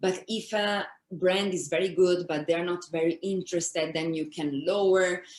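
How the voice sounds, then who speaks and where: An Italian accent at a moderate pace. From Italy. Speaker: influencer manager and content creator. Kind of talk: interview.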